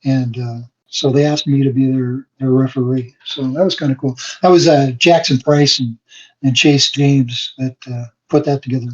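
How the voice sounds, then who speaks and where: The voice is somewhat breathy, with fairly even intonation. It moves at a moderate pace. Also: man, medium pitch for a man. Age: 60s. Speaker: wrestling referee. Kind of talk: podcast interview. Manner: halting, many fillers.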